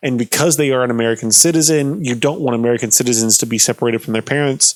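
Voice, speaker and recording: A man's very fast mumbling at a medium pitch, with ordinary pitch variation. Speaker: political commentator. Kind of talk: explainer livestream, casual. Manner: halting, many fillers.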